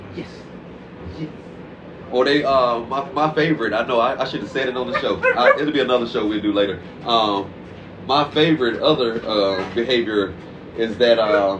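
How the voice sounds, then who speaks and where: With long, frequent pauses and noticeable background noise, a man speaks at a medium pitch with ordinary pitch variation. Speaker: dog trainer. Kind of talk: casual interview. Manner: fast; animated.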